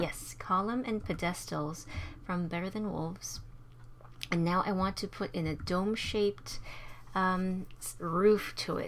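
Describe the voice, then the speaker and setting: Fairly slow pace and ordinary pitch variation. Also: woman. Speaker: gaming commentator. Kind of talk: let's play commentary. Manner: hesitant, many fillers; subdued, slower paced.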